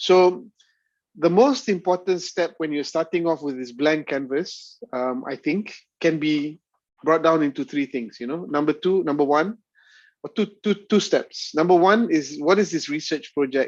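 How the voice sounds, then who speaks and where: Over a quiet background, a man with a Malaysian accent speaks at a moderate pace, his fairly high pitch showing ordinary variation. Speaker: university lecturer. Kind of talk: lecture. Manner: halting.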